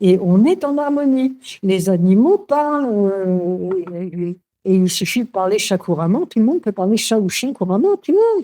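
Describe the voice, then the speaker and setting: A woman's fairly high, dark, mellow voice with very wide pitch swings at a moderate pace. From Paris, France. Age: 80s+. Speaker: author on spirituality. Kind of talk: interview. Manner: halting, many hesitations.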